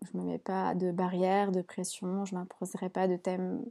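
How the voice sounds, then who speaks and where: A woman speaks at a fairly slow pace in a medium pitch, her dark, mellow tone delivered with monotone, flat intonation and a dry, close sound with no echo. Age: 20s. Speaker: beauty salon owner. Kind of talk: solo podcast monologue.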